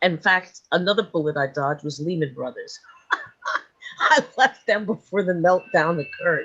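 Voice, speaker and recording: A woman with a New York accent speaks at a moderate pace, her fairly low voice carrying lively intonation. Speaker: sleep and dream coach. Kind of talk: interview.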